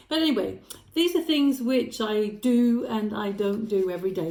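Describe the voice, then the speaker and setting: A woman at a medium pitch and a fairly slow pace, with audible room echo. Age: 60s. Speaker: lifestyle vlogger. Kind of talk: casual talk to camera. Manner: hesitant with fillers.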